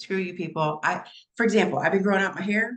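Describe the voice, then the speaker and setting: A somewhat breathy woman talks at a very fast pace. Her pitch varies in an ordinary way. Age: 60s. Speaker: psychic medium and coach hosting a live event. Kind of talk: casual chat.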